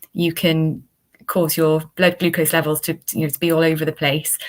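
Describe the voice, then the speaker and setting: A woman speaks in a Welsh accent at a moderate pace. Her pitch is very deep and low, and her intonation is monotone and flat. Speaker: dietitian. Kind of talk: interview.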